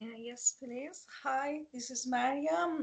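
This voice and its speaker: Speaking very slowly with a non-native accent, a woman uses ordinary pitch variation. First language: not English. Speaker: first-year mature student. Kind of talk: testimony. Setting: video call. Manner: halting.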